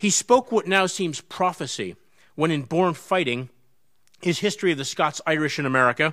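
A man speaks in a bright, sharp tone. The background is quiet. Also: moderate pace. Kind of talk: formal introduction speech. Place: hall. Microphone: podium.

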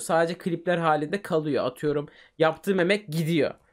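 A high-pitched man against a quiet background. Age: 20s. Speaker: gaming streamer and YouTuber; gaming streamer, YouTuber. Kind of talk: casual interview chat. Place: home room. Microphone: studio mic.

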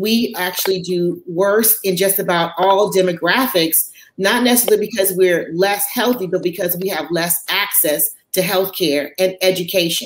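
In an American accent, a woman speaks at a moderate pace with fairly even intonation, and audible room echo surrounds her voice. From Chicago, US Midwest. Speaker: physician; panelist. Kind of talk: panel discussion. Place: home room. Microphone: webcam.

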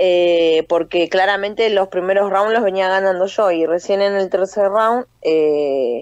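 Against a quiet background, a woman with an unremarkable speaking voice talks at a fairly slow pace in a medium pitch, with ordinary pitch variation and dry sound with no echo. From Buenos Aires area, Argentina (Libertad, Merlo); Buenos Aires. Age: 30s. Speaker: professional boxer and army corporal. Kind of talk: phone interview. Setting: phone call. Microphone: phone line, dropped once; phone line.

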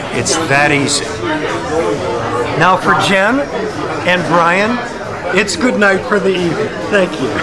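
A man talks at a fairly slow pace, leaving long, frequent pauses. Loud background noise runs under his voice. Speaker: actor and spokesman. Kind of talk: promotional soundbite at a mixer. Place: bar. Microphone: phone near.

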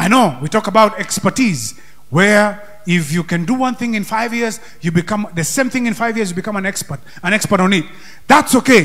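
A man's high-pitched, energetic voice with ordinary pitch variation at a moderate pace. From Kenya. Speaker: pastor; preacher. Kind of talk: Sunday sermon in a Kenyan church, interactive, calling for amens and congregation input. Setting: church with congregation and microphones. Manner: energetic preacher's exhortation, rising to call-and-response; loose, conversational, switching into Swahili. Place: church. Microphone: handheld.

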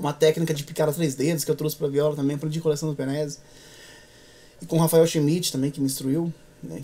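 A man talks at a very fast pace in a fairly high voice. His intonation is monotone and flat. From interior of São Paulo state, Brazil (Echaporã/Marília); São Paulo state, Brazil. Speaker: musician, viola player and composer; guest. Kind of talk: interview conversation. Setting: studio. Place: studio.

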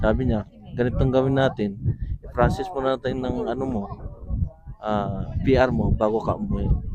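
Over noticeable background noise, a man at medium pitch speaks with lively intonation at a moderate pace, taking long, frequent pauses. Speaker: immigrant worker. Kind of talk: interview. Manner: halting.

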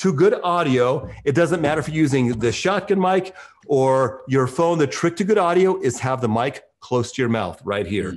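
Against a quiet background, a man with a fairly high pitch speaks at a fairly slow pace in an animated tone with lively intonation. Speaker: real estate agent and video coach; video coach. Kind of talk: interview. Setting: video call. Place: home room. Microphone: video call.

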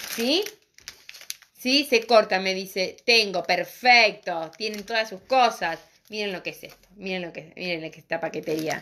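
Over light background noise, a woman speaks at a fairly slow pace with ordinary pitch variation and big swings in loudness. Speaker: craft and decorative painting teacher; decorative painting teacher. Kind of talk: live streamed craft tutorial. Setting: live stream on social media. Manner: animated, talkative. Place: shop. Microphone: phone near.

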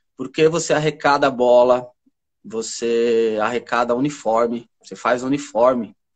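A man at a fairly slow pace with fairly even intonation, against a quiet background. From São Paulo, east zone. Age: 40s. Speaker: therapist and spiritualist; guest. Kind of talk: live stream conversation. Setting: live video stream. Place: home room. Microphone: video call.

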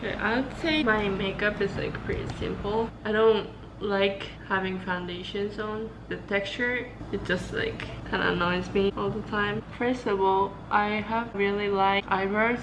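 Against noticeable background noise, a woman talks at a fairly slow pace. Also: fairly even intonation. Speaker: student vlogger. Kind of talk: casual vlog chat. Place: home room. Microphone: phone near.

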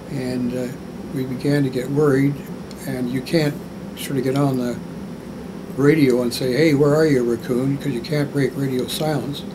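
Over noticeable background noise, a man talks in a Canadian accent at a medium pitch and moderate pace. His intonation is monotone and flat, with long, frequent pauses. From Canada. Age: 80s+. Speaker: war veteran. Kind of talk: interview answer. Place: home room. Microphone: lapel.

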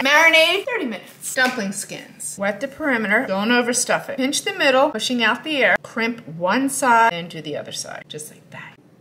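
A woman's high voice with very wide pitch swings and big swings in loudness, at a moderate pace with hardly any pauses, music in the background. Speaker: home cook host. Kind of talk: quick recipe tutorial. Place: kitchen.

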